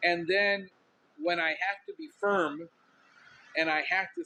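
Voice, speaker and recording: A man speaks loudly. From Miami, Cuban-American. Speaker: podcast host, pest control businessman. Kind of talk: casual podcast monologue. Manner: intense, outspoken.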